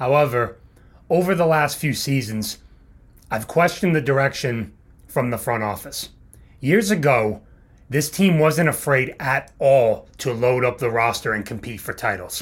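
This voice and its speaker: On a very clean recording with a silent background, a man talks at a moderate pace in a somewhat breathy, medium-pitched voice with lively intonation. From New England. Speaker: student sports podcast host. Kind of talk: solo sports commentary.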